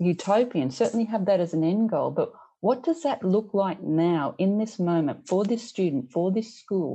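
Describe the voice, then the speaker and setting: With an Australian accent, a woman speaks fairly slowly in a dark, mellow tone. Her intonation is lively, and the background is quiet. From rural Australia. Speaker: teacher and education leader. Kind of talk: casual interview conversation.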